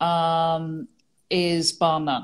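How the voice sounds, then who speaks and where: In an English accent, a woman speaks at a fairly low pitch. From England. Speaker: real estate executive. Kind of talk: interview.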